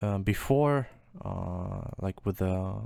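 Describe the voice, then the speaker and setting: A man speaks with a non-native accent. His pitch is fairly low for a man. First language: not English. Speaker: music producer. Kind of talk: tutorial. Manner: halting.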